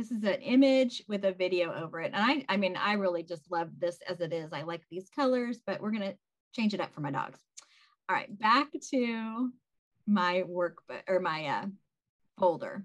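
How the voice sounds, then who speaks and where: A woman talks at medium pitch and a moderate pace in an unremarkable speaking voice. Her intonation is lively. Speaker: social media marketer. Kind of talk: tutorial.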